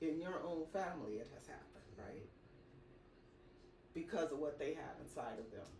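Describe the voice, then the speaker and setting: A woman's very deep, low voice at a moderate pace, with lively intonation, big swings in loudness, long and frequent pauses, and audible room echo. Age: 60s. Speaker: podcast interviewer. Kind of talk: interview.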